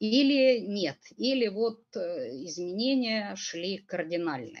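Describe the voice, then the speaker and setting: With a Russian accent, a woman speaks at a medium pitch and a fairly slow pace, her pitch swinging very widely. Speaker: forum moderator. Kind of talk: panel discussion questions. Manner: halting.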